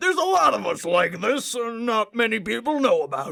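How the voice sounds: In a put-on character voice, the speaker talks at a fairly slow pace with big pitch swings, vocal fry and a fairly bright tone. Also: woman.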